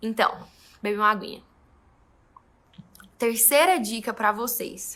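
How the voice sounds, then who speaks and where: A woman's bright, sharp tone at a fairly high pitch, with ordinary pitch variation and a fairly slow pace. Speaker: photographer. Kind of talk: tutorial. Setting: studio.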